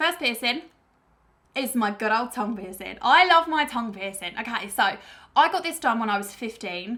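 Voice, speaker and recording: A woman with a British accent speaks at a moderate pace in a bright, sharp tone, her fairly high pitch swinging very widely. The recording is very clean, with a silent background. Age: 20s. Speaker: YouTuber. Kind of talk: casual chat.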